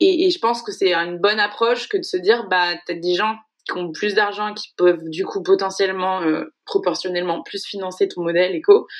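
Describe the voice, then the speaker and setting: Here a woman speaks at a moderate pace, medium in pitch and with ordinary pitch variation. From western France, Maine-et-Loire. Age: 20s. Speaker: founder of a sustainability impact initiative. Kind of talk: interview. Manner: hesitant, many fillers.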